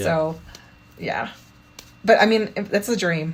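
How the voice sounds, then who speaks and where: A woman speaks at a very slow pace in a somewhat breathy, medium-pitched voice. Her pitch varies in an ordinary way. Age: 50s. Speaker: parkour practitioner and children's book author. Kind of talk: interview answer. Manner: casual, chatty.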